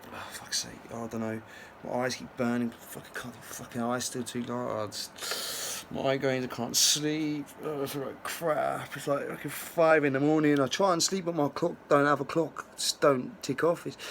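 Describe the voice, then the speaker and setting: With a southern English accent, the speaker goes at a moderate pace with hardly any pauses and ordinary pitch variation over noticeable background noise. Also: man, fairly high pitch for a man. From England, Milton Keynes. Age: 30s. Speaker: vlogger. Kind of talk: personal testimony. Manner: halting, repetitive.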